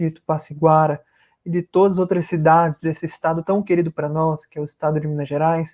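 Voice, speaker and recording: High-pitched yet dark and mellow in tone, a man with a northern Brazilian accent talks at a moderate pace over a quiet background. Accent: northern Brazilian, rolled R and hissing S. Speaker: spiritist lecturer. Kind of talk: religious lecture. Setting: live stream video call. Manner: formal.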